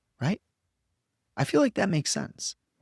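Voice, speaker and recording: The man's voice comes across dry and close, without any echo. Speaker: podcast host, spiritual coach for entrepreneurs. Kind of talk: monologue podcast teaching. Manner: casual, repetitive with fillers.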